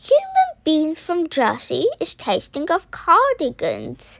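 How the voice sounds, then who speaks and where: At a fairly slow pace, a woman adopts a put-on character voice pitched extremely high. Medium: read story. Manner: booming, ungrammatical, full of invented words.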